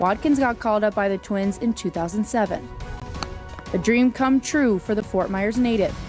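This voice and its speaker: Over music in the background, a woman with an American accent talks at a fairly quick pace in a fairly high pitch with ordinary pitch variation. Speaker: TV news reporter and anchor.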